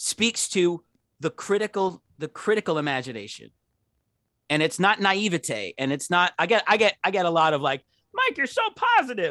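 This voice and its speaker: Raised and projected, a man's high voice with an American accent has a bright, sharp tone at a moderate pace, the sound dry and close with no echo. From Pittsburgh, Pennsylvania. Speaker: professor. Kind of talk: casual interview. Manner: halting, many fillers and repetitions.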